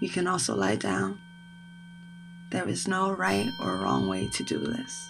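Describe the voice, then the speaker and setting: A woman speaking fairly slowly in a soothing, calm tone, with long, frequent pauses and noticeable background noise. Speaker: podcast host and meditation guide. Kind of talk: guided meditation. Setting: studio with background music and chimes. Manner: slow, soothing and calm, with gentle pacing and long pauses; casual, warm and chatty in the intro.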